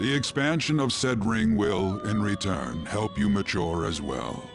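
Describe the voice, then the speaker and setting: A man's fairly low, put-on character voice at a moderate pace over loud music in the background. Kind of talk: mysterious mentor. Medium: video game. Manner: formal, measured, archaic phrasing.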